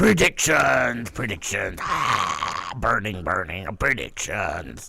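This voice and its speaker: Very slow, put-on character voice from a man. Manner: theatrical, exaggerated.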